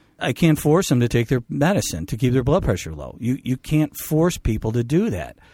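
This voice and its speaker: In a very clean recording with a silent background and a dry, close sound with no echo, a man uses a plain, everyday voice at medium pitch and a moderate pace, with lively intonation. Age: 50s. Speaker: physician. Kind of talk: radio talk show discussion.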